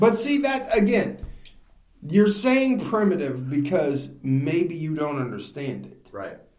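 A man's fairly high voice at a very slow pace, with very wide pitch swings, big swings in loudness, audible room echo and noticeable background noise. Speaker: podcast host. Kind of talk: casual chat.

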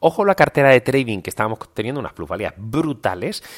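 This very clean recording of a man has a silent background. His voice sounds dry and close, with no echo. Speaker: financial markets analyst and podcast host. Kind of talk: daily market news commentary.

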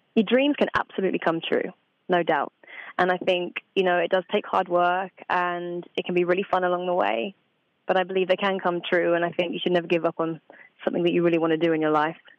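A woman speaks with a British accent at a very fast pace. Her loudness stays very even, with ordinary pitch variation. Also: fairly low pitch for a woman. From Essex and Suffolk, England. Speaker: voice actress. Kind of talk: interview. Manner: animated.

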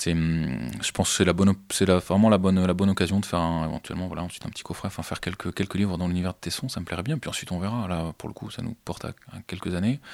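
A man with a very deep, low pitch at a very fast pace, dry and close with no echo, on a very clean recording with a silent background. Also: ordinary pitch variation. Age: 30s. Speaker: comic book artist. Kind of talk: interview. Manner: halting.

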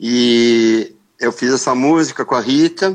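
A man's medium-pitched voice, with ordinary pitch variation, comes through over a quiet background. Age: 60s. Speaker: rock guitarist. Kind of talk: interview. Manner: casual, hesitant with repetitions.

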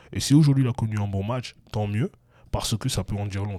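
Fairly low in pitch, this man's dark, mellow voice keeps a fairly even intonation. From Europe. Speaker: basketball podcast host. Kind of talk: casual chat.

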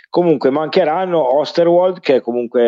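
A man is speaking. His intonation is lively. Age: 40s. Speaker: football podcast co-host. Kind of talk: casual chat. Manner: halting.

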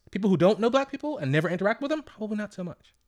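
In an American accent, a man talks at a very fast pace, with a dry, close sound with no echo and a very clean recording over a silent background. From Washington, D.C. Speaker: podcast co-host. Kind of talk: casual chat.

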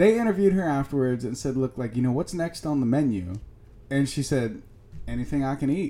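A man's voice has a dark, mellow tone and a fairly high pitch. He talks at a fairly quick pace with lively intonation. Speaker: podcast co-host. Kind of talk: casual banter podcast. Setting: studio.

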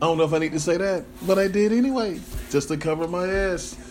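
A man talks at a fairly quick pace in a high pitch. His tone is slightly mellow. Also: ordinary pitch variation.

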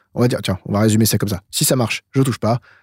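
The man has a medium pitch and a somewhat breathy voice with ordinary pitch variation, recorded with a dry, close sound with no echo. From France, Eure-et-Loir near Chartres. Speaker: metal producer and sound engineer. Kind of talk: casual interview. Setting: remote call from his studio control room. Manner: halting, many repetitions.

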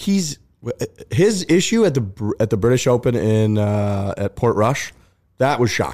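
On a very clean recording with a silent background, a man with an American accent uses a normal speaking voice at medium pitch, speaking at a fairly slow pace with lively intonation and very even loudness. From Missouri, St. Louis area. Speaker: golf podcaster. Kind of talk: casual chat. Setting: studio.

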